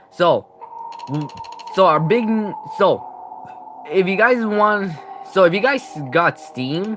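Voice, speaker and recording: A man with a high pitch speaks at a very slow pace, using lively intonation and long, frequent pauses over noticeable background noise. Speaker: gaming youtuber. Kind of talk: live stream commentary. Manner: halting, many restarts.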